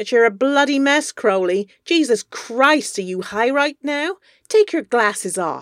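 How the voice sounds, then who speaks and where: A female-sounding voice puts on a character voice, high-pitched for a woman and fairly slow, in a very clean recording with a silent background. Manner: aggressive, contemptuous, shouting.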